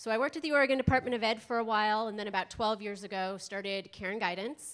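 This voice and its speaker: A plain, everyday voice: a woman with an American accent, fairly high in pitch, ordinary pitch variation, a fairly quick pace, and a quiet background. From US East Coast. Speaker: school health consultant, presenter. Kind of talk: conference workshop presentation. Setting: conference room with live audience and microphone. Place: hall. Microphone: handheld.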